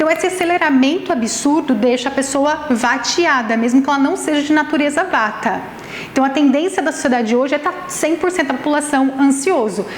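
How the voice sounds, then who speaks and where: Amid noticeable background noise and audible room echo, a woman speaks in an animated tone at a high pitch, with ordinary pitch variation and very even loudness. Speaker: nutritionist and Ayurvedic therapist giving a talk. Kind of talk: lecture. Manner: fast.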